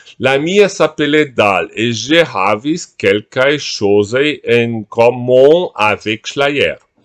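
Against a quiet background, a man with a Portuguese accent speaks at a very slow pace with lively intonation and hardly any pauses. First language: Portuguese (speaking German). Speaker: writer on language. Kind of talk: reading aloud of own multilingual essay. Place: home room. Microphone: webcam.

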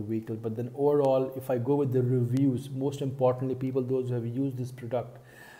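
Somewhat breathy, a man speaks with a dark, mellow tone and fairly even intonation. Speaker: car vlogger. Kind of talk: casual vlog commentary. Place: home room. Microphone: earbuds.

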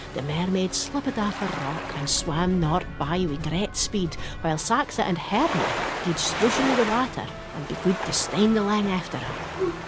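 A woman with a Shetland accent at a moderate pace, over loud background noise. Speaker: storyteller narrator. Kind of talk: storytelling narration.

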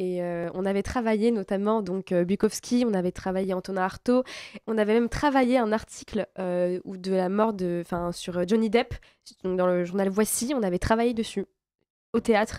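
Over a quiet background, a woman speaks at medium pitch. Her tone is dark and mellow, with fairly even intonation. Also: moderate pace, dry sound with no echo. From France. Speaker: actress. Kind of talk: interview. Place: studio. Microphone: studio mic.

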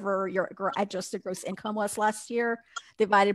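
A woman with an American accent speaks in a monotone, flat intonation against a quiet background. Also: dry sound with no echo. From US South. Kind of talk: casual chat. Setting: video call. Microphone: headset.

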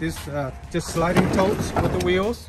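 Loud background noise sits under a man's voice. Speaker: road trip vlogger. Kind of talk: casual vlog chat. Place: street. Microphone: phone near.

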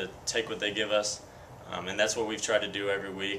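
A man with a fairly low pitch talks over light background noise. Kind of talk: interview answer. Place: hall. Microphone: handheld.

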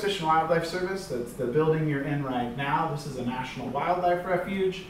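A man at a moderate pace with ordinary pitch variation, light background noise and audible room echo. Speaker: presenter. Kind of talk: lecture. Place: classroom. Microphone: camera far.

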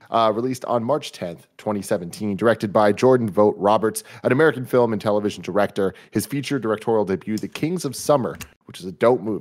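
Against a quiet background, a man in an ordinary speaking voice talks at a fairly quick pace and fairly low pitch with ordinary pitch variation and hardly any pauses. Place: home room. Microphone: studio mic.

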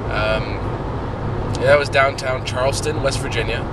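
A man is heard over loud background noise, the sound dry with no echo. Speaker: travel vlogger. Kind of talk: casual vlog chat. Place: car. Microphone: phone near.

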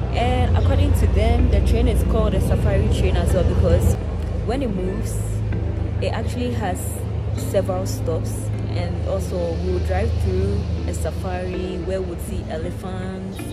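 Music sounds behind the speaker. A woman talks at a moderate pace. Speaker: travel vlogger. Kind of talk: casual vlog chat. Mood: excited, mixed feelings. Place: station. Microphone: phone near.

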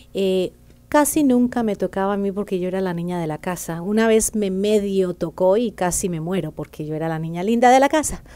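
A woman's voice with a dark, mellow tone, lively intonation and a fairly quick pace. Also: medium pitch for a woman. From Colombia, Bogotá. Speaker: banker and author; interview guest. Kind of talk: interview. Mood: personal, reflective storytelling. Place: studio. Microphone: studio mic.

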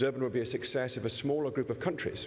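A man speaks with a British accent at a medium pitch. Noticeable background noise runs behind him. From England. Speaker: climate finance executive. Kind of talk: panel discussion. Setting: stage with audience.

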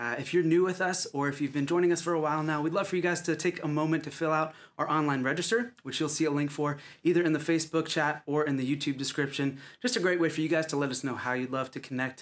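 Very fast speech comes from a man. The intonation is fairly even. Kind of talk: church announcements. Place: home room.

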